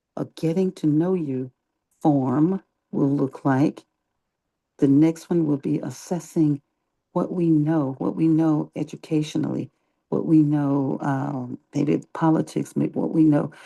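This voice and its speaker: Speech comes quietly and at a fairly slow pace. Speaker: online meeting organizer. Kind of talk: casual group discussion.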